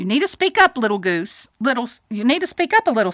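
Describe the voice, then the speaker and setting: A female-sounding, gruff put-on character voice races along at a very fast pace. It sits high in pitch and moves in very wide pitch swings. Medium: read story. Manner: honking, gruff.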